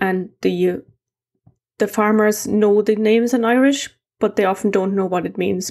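Against a quiet background, a woman with a German accent talks at a fairly quick pace. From East Germany. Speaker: amateur heritage mapper and video creator; conference presenter. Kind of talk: conference presentation. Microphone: webcam.

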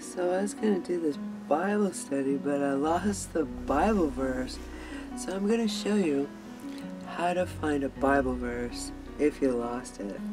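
A woman speaks at a fairly slow pace. Music plays clearly in the background. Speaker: Bible study host. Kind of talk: casual vlog chat. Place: home room. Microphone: webcam.

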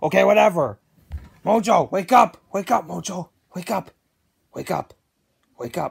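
Using a put-on character voice, a woman talks at a fairly slow pace and fairly low pitch, with lively intonation, vocal fry and a husky, rough edge.

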